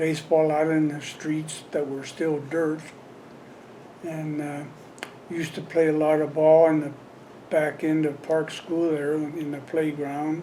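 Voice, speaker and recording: There is noticeable background noise and audible room echo. A man speaks fairly slowly in a fairly high voice with monotone, flat intonation. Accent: American. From Colorado, Windsor area. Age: 70s. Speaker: longtime local resident, former volunteer fireman. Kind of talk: oral history interview. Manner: halting, many fillers.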